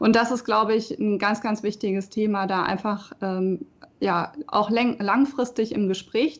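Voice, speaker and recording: The voice is a normal speaking voice. It moves at a fairly slow tempo. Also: woman. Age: 20s. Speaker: local election candidate. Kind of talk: casual chat.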